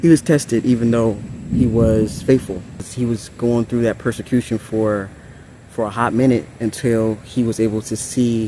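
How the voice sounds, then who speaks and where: Fairly even intonation marks a man's plain, everyday voice. His medium-pitched speech goes at a moderate pace. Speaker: ASMR and spiritual content creator. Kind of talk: spiritual message reading to camera. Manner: casual, conversational.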